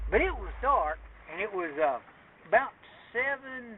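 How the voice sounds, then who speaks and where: A high-pitched man with an Appalachian accent and very wide pitch swings, over noticeable background noise. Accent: Appalachian Southern US. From Appalachia, USA. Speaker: retired Army Special Forces soldier. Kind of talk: casual storytelling.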